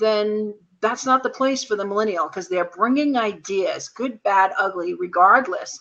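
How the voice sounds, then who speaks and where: A woman's fairly high, lively voice, a normal speaking voice. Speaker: co-host of a business video chat. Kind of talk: casual discussion.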